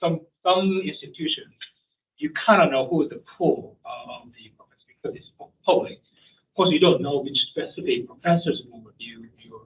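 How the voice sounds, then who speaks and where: A man with a Korean accent talks at a moderate pace, his loudness swinging widely. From South Korea. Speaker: professor. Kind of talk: panel discussion. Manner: halting.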